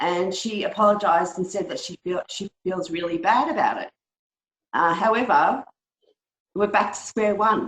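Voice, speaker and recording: The speaker has an Australian accent and a moderate pace. The sound is dry and close, with no echo. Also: woman. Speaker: webinar participant asking a question. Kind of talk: Q&A question on a video call. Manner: halting, many ums.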